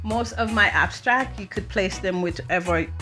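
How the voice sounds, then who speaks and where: Clear music in the background behind a woman's fairly slow pace. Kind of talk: interview answer. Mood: warm, reflective, animated. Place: workshop.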